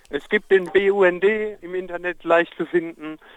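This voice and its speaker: A man speaking at a fairly slow pace. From Germany, Palatinate. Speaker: protest participant. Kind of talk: live phone report. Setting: outdoors on a street at a protest, phone call.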